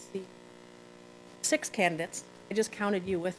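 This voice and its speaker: Here a woman speaks at medium pitch. Her pace is fairly quick. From Neenah, Wisconsin, US Midwest. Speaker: school board candidate, attorney. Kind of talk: candidate forum speech. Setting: public forum with audience.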